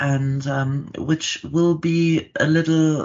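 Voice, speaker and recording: The speaker has a German accent. The pace is very slow. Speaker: startup founder. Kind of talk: podcast interview. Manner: halting.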